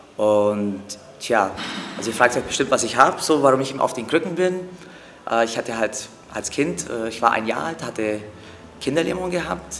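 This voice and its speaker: A man speaks with lively intonation over noticeable background noise, with audible room echo. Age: 40s. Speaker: acrobatic dancer. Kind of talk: interview. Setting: training gym. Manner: hesitant with fillers.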